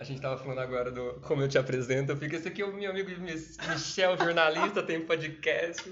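Over noticeable background noise and audible room echo, a man with a fairly high voice speaks at a fairly quick pace with hardly any pauses. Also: ordinary pitch variation. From Brazil, Campinas (São Paulo state). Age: 30s. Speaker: actor and PE teacher. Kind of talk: casual interview chat.

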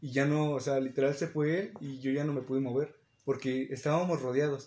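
A man with a Mexican accent at a fairly quick pace. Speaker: podcast co-host. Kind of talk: casual chat.

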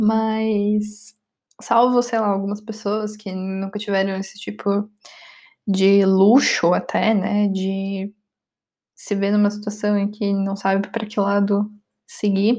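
In a very slow, flat monotone, a woman with a Brazilian accent speaks at a medium pitch in a dark, mellow tone. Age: 20s. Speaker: podcast host. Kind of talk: casual monologue.

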